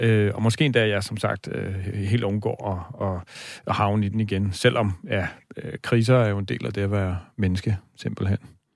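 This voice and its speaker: A man's normal speaking voice, fairly low in pitch, at a fairly slow pace with ordinary pitch variation, on a very clean recording with a silent background. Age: 40s. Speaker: dream expert, radio host. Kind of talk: radio talk show, dream interpretation. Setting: radio studio.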